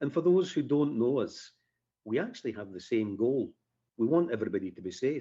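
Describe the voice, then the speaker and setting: Speaking in a Scottish accent against a quiet background, a man has a dark, mellow tone, medium pitch, lively intonation, big swings in loudness and a fairly quick pace. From Scotland, Edinburgh area. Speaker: firearms instructor. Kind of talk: radio interview.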